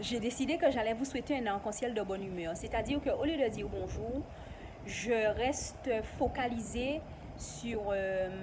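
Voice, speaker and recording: Over noticeable background noise with audible room echo, a woman speaks at a fairly slow pace in a fairly high pitch with ordinary pitch variation. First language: not French (an ancestral local language) (speaking French). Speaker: YouTuber. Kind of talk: casual vlog explanation.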